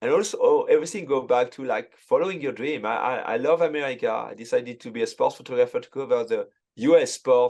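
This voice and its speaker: With a French accent, a man talks very fast with hardly any pauses, his loudness swinging widely. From France. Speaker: sports photographer. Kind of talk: casual chat. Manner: halting.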